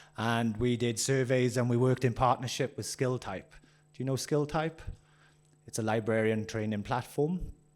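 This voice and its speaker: Fairly quick speech from a man in a Welsh accent, medium in pitch with fairly even intonation, on a very clean recording with a silent background. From Wales. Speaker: workshop presenter. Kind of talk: interactive workshop. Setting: conference room with audience. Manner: fast.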